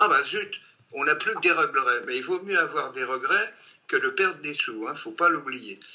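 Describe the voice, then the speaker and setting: At a moderate pace, a man talks while noticeable background noise persists. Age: 80s+. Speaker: horse racing betting expert. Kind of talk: online training session.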